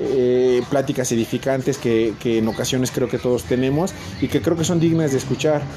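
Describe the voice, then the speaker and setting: Against noticeable background noise, a man speaks at a medium pitch with very even loudness. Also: ordinary pitch variation, moderate pace. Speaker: podcast host. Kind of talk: solo monologue. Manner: halting, many filler words. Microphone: poor recording quality.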